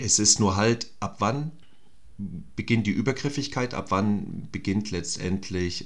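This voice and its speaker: A man talks at a very slow pace. His pitch is fairly low and varies in an ordinary way. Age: 50s. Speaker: actor. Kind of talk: casual chat.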